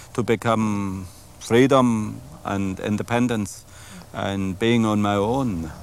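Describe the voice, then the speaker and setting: Speaking at a very slow pace, a man with a German accent has a fairly low pitch and ordinary pitch variation. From Germany. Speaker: winemaker. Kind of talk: interview. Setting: outdoors in a vineyard.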